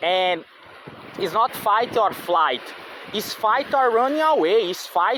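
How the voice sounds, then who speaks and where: A man with a non-native accent and a high pitch at a very slow pace, over noticeable background noise. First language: not English. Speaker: vlogger. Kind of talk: casual monologue. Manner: halting, many fillers and repetitions.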